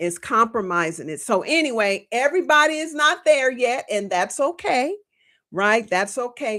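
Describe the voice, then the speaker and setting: This woman's high voice is bright, sharp and animated, with very wide pitch swings. She keeps a moderate pace on a very clean recording with a silent background. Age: 60s. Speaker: natural hair care educator. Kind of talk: live-stream hair care teaching.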